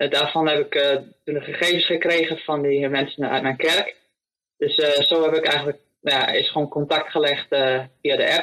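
A man is speaking. His pace is fairly slow. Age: 20s. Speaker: volunteer, vegetable grower. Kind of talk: interview. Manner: hesitant, many fillers.

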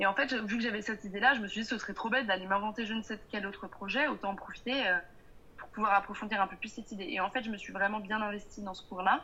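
A woman with a fairly high pitch talks at a very fast pace. Her intonation is fairly even, and her loudness swings widely. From Paris suburbs, France. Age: 20s. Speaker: entrepreneur. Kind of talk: interview. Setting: video call. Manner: hesitant.

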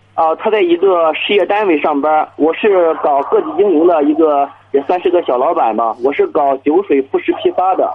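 With noticeable background noise, a man talks at a moderate pace with hardly any pauses. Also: very even loudness. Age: 30s. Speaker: small business owner, caller. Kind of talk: phone-in call. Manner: hesitant, filler-heavy.

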